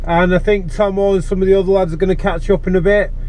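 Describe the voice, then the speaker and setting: Over noticeable background noise and audible room echo, a man talks in a high pitch with monotone, flat intonation. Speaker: amateur track day driver. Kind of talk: driving commentary vlog. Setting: in a car on race track, wearing helmet. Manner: loud, speaking up over helmet.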